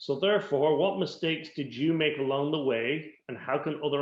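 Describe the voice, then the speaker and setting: Someone with a Dublin accent speaks at a moderate pace with ordinary pitch variation. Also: man. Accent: Irish (Dublin). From Ireland, Dublin. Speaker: business coach and interviewer. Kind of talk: interview.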